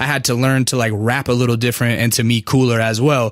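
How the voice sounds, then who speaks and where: A man speaks at a fairly quick pace in a plain, everyday voice of medium pitch. The recording is very clean, with a silent background. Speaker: podcast host and rapper. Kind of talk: casual chat. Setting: studio. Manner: casual, profane.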